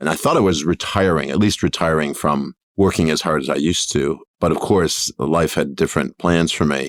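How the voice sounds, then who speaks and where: A man with an American accent talks at a fairly quick pace in a very deep, low pitch with vocal fry, fairly even intonation and very even loudness. The sound is dry and close, with no echo. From New York, US. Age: 50s. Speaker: tech company founder and CEO. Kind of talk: podcast interview.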